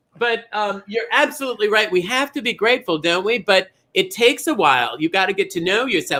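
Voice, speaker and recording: A man's raised, projected voice, high and bright with a sharp tone, animated and lively in intonation, at a fairly quick pace. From Minnesota. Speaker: drag comedian bingo caller. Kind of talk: live bingo show chat.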